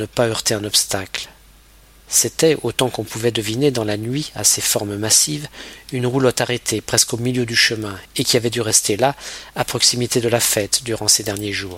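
A man talks at a moderate pace with a medium pitch. His pitch varies in an ordinary way, and there is noticeable background noise. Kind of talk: literary audiobook reading, scripted narration of a novel. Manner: measured, storytelling pace with shifting tone, voicing dialogue lines briefly.

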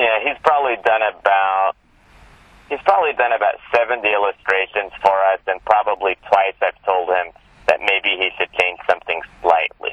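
A man speaks at a moderate pace in a fairly low pitch with ordinary pitch variation. He has a plain, everyday voice. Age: 40s. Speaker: magazine editor. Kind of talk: interview.

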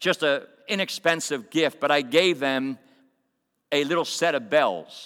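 On a very clean recording with a silent background, a man talks with an American accent. His tone is bright and sharp. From Coatesville, Pennsylvania. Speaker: visiting pastor and prison corrections worker. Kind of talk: sermon. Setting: church.

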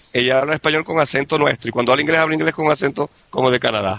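The man's voice is fairly high, bright and sharp, with vocal fry. He talks at a very fast pace in a dry, close sound with no echo. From Venezuela, Maracaibo. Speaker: immigrant oil industry worker. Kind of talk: casual interview.

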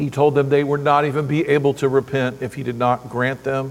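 Using a plain, everyday voice, a man speaks at a moderate pace with a fairly high pitch. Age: 50s. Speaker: pastor. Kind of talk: sermon. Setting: church.

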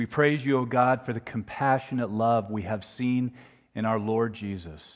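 A man speaks in a normal speaking voice at medium pitch with ordinary pitch variation. His pace is moderate and the background is quiet. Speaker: prayer leader. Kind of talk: prayer. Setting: church.

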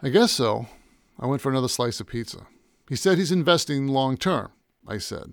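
Someone reads aloud in a natural voice, with a quiet background behind it.

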